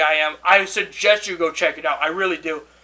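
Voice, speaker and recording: In a raised, projected voice with a bright, sharp tone, a man speaks at a moderate pace. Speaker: YouTuber. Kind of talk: casual rant to camera.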